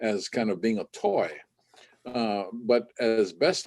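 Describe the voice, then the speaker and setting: A man at medium pitch, very slow in pace, with ordinary pitch variation. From Hawaii. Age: 70s. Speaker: ukulele musician. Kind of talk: interview. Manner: halting.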